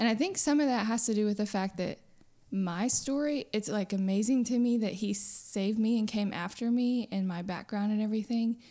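On a very clean recording with a silent background, a woman with an American accent speaks at a fairly quick pace in a fairly high pitch, her dark, mellow tone showing ordinary pitch variation and very even loudness. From Texas, Houston area. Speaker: pastor's wife. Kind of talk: casual chat. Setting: dining room at home.

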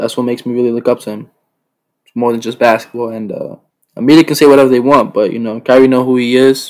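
Talking at a very fast pace with an American accent, a man keeps fairly even intonation amid big swings in loudness. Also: medium pitch for a man. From New York City. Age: young. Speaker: basketball player. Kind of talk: interview.

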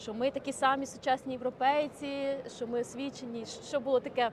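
A woman with a high pitch talks at a fairly quick pace with fairly even intonation. Noticeable background noise is present. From Ukraine. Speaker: podcast host. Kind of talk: casual chat. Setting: outdoors.

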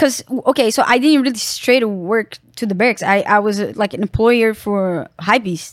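This woman speaks with a Brazilian accent and a fairly high pitch. Her pitch varies in an ordinary way. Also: moderate pace. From Brazil, Sao Paulo. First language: Portuguese. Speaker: professional skateboarder. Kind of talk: casual interview.

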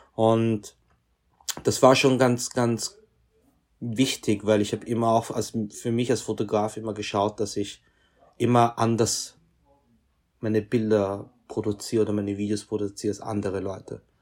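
A man's fairly low voice at a moderate pace, monotone and flat, with long, frequent pauses. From Austria, Vienna. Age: 30s. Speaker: fashion photographer. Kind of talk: interview.

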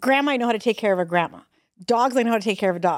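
Fairly high in pitch and animated in tone, a woman's voice comes through dry and close with no echo. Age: 40s. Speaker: podcast co-host. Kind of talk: casual chat.

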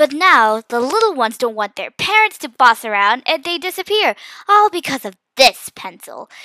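Putting on a character voice, a woman speaks at a moderate pace with high pitch, big pitch swings and a bright, sharp tone, the sound dry and close with no echo.

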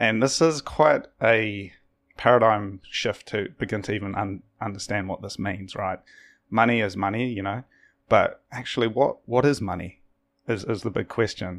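A man with a New Zealand accent speaks at a moderate pace in a fairly low pitch, using ordinary pitch variation, on a very clean recording with a silent background. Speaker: podcast host. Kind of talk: casual interview conversation.

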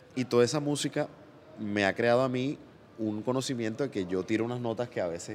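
A plain, everyday voice from a man, medium in pitch, fairly quick, with ordinary pitch variation. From Colombia, Barranquilla (Caribbean coast). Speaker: comedian and singer. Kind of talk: casual interview chat.

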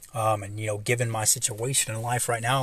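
A man talks in an American accent. His voice is somewhat breathy, with a monotone, flat intonation. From US South, Kentucky and Atlanta. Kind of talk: solo devotional talk. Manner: halting, many fillers.

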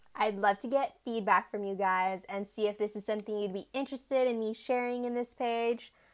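Using an ordinary speaking voice, a woman with an American accent talks at a moderate pace with ordinary pitch variation, recorded very cleanly against a silent background. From Arizona, US (Tucson). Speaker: podcast host, graduate student. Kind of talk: casual monologue.

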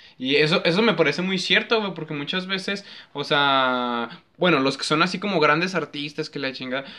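A bright, sharp male voice at a moderate pace with ordinary pitch variation. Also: fairly high pitch for a man. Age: 20s. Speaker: podcast host. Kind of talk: casual chat.

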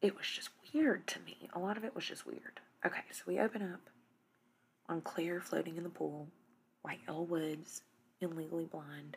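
A quiet woman's voice, fairly low in pitch, with vocal fry, big swings in loudness and long, frequent pauses. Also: ordinary pitch variation, moderate pace. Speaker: TV recap podcast host. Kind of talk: casual recap monologue. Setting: dark room at home, in a recliner. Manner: quiet, hushed.

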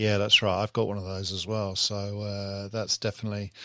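A man with a New Zealand accent in a very clean recording with a silent background. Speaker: podcast host. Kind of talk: casual chat.

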